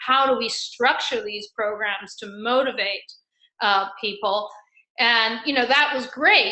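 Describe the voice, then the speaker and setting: A woman with a fairly high pitch at a fairly slow pace, with audible room echo. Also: ordinary pitch variation. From England, raised also in Argentina. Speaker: financial advisor, former corporate sales. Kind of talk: interview conversation.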